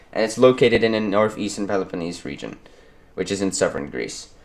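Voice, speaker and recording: A man with a non-native accent talks at a very fast pace with ordinary pitch variation. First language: not English. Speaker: history YouTuber. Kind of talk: educational narration. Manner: halting, many fillers.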